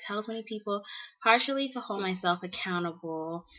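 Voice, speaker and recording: Fairly quick pace, ordinary pitch variation and noticeable background noise. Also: woman. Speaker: beauty vlogger. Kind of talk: casual vlog talk. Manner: fast.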